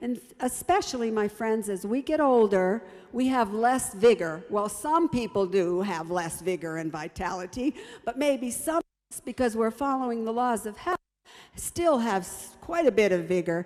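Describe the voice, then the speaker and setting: Her pitch swings very widely. This woman speaks with a fairly high pitch. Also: moderate pace. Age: 70s. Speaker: health presenter. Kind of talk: health talk. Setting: broadcast program. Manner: warm, encouraging.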